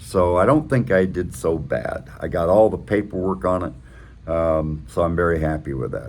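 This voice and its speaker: A man's relaxed tone amid audible room echo. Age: 60s. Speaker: motorcycle vlogger. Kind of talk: casual vlog monologue. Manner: relaxed, with many fillers.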